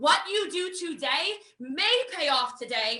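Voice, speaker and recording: A woman's raised, projected voice comes across as bright, sharp and energetic, with very wide pitch swings. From United States. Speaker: network marketing trainer. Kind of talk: online training session. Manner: fast.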